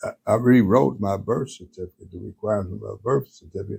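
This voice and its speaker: Very fast male speech with vocal fry, a dark, mellow tone, and ordinary pitch variation. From Mississippi, raised in Gary, Indiana. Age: 80s+. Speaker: attorney. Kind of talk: interview. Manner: halting, repeats words.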